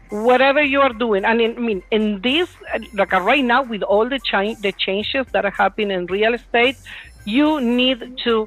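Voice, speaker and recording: With noticeable background noise, a woman speaks at a moderate pace and fairly high pitch in a Spanish accent. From Puerto Rico. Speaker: real estate agent. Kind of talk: panel Q&A.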